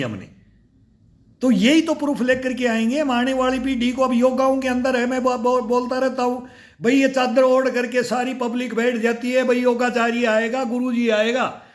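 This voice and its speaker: Audible room echo surrounds a man speaking at an extremely high pitch. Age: 60s. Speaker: fitness YouTuber, army veteran. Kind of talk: casual vlog talk. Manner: animated.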